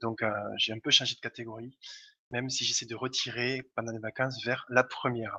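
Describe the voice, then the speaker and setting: In a slight Toulouse accent, the speaker moves at a fairly quick pace with flat, monotone intonation. The tone is bright and sharp, the sound dry and close with no echo. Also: man, medium pitch for a man. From Toulouse, southern France. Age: 30s. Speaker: gamer and blogger. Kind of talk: casual chat.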